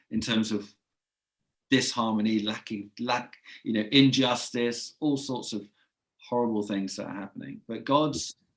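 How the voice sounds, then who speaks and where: A man with a medium-pitched voice talks fairly slowly, his pitch varying in an ordinary way. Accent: English. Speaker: podcast host. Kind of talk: casual chat.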